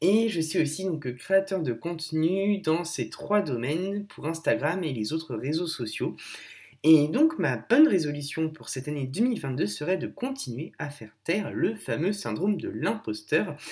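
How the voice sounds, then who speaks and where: A man talks at a fairly slow pace in a fairly high pitch. His pitch swings very widely. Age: 20s. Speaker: blogger and content creator. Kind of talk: recorded advice message.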